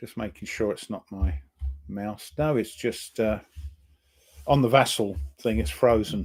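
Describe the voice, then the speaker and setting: A man with an English accent, medium pitch, very wide pitch swings and a moderate pace. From England. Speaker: board game player. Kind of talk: casual chat.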